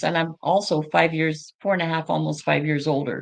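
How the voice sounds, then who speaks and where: A woman's very deep, low voice with vocal fry. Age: 70s. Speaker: health product user sharing testimonial. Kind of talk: testimony. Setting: studio.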